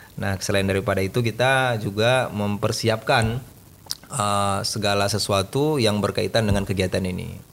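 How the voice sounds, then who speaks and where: In an ordinary speaking voice, a man speaks at a moderate pace with a fairly low pitch. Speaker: scout community leader and pesantren teacher. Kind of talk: casual interview. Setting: studio.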